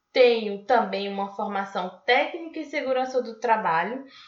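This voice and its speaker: With audible room echo around her, a woman speaks slowly at a fairly high pitch with lively intonation. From Brazil, western Bahia (Barreiras). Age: 20s. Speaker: podcast host, exchange student. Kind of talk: scripted podcast introduction.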